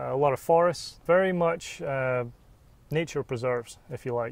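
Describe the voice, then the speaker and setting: A man with an American accent and a fairly high pitch talks at a moderate pace with fairly even intonation against a quiet background. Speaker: golf resort sales manager. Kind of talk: interview. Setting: outdoors on a golf course.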